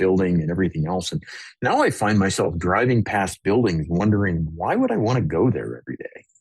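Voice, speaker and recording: Vocal fry colors a very fast, lively-toned delivery set against a quiet background. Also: man. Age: 60s. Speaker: company founder and CEO. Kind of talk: interview. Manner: casual, hesitant fillers.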